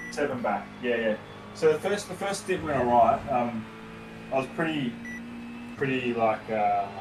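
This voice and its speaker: Amid audible room echo and noticeable background noise, a man talks at a moderate pace. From Australia. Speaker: sim racing driver and streamer. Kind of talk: casual chat.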